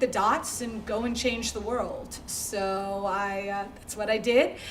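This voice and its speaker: Audible room echo and noticeable background noise frame the recording. A woman speaks with fairly even intonation. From Connecticut, US (Greenwich). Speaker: startup founder, entrepreneur. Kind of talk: fireside chat interview.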